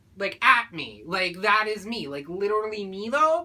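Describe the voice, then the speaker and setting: A woman speaks with lively intonation. Noticeable background noise can be heard. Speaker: vlogger. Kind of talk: casual vlog monologue.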